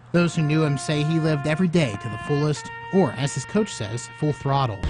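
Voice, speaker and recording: A man with an American accent, fairly high-pitched, talking at a fairly quick pace with lively intonation over background music. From Pennsylvania. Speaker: TV news anchor and reporter. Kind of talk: TV news package voiceover.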